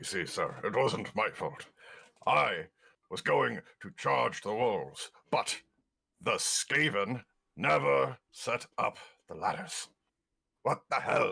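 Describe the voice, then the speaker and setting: A put-on character voice moves at a very slow pace, broken by long, frequent pauses. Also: man. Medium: actual play. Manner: sulky, defensive.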